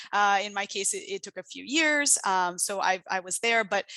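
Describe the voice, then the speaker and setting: The voice has a bright, sharp tone and a Portuguese accent. The sound is dry and close with no echo, over a quiet background. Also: woman. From Brazil. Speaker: international development researcher. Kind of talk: invited talk. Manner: hesitant, many fillers.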